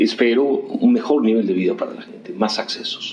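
Room echo is audible as a man talks over music in the background. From Peru, Ica. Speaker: economist, dean of economics. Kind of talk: interview.

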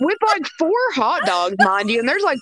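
Through noticeable background noise, a woman speaks at a moderate pace in a high pitch with very wide pitch swings. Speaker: podcast co-host. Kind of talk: casual chat. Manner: animated.

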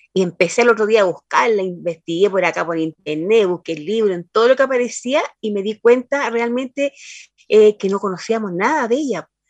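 A woman's fairly high, lively voice at a fairly quick pace, with a dry, close sound and no echo. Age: 60s. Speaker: poet. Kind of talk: interview. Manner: halting.

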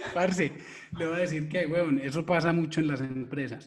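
A man with a fairly high pitch, fairly even intonation and a normal speaking voice. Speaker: podcast host, digital marketing copywriter. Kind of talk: casual chat.

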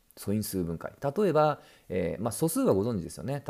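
A man speaks at a medium pitch with very wide swings, his tone dark and mellow, on a very clean recording with a silent background. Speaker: science podcast host. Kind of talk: solo explainer monologue. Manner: casual with frequent fillers.

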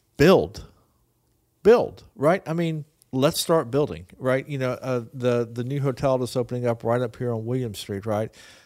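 Recorded very cleanly against a silent background, a man with a normal speaking voice talks at a medium pitch and moderate pace with ordinary pitch variation. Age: 60s. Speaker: podcast co-host and teacher. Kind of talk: casual chat.

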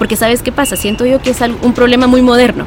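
Noticeable background noise sits behind a woman whose voice is fairly high-pitched. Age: 20s. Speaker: voice-over artist and preacher. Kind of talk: interview.

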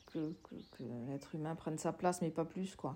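A woman's dark, mellow tone. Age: 60s. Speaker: sociologist and former social worker. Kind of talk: interview testimony. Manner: halting, many hesitations.

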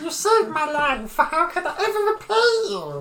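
A put-on character voice, high in pitch, moves at a moderate pace. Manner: polite, eager, slightly nervous.

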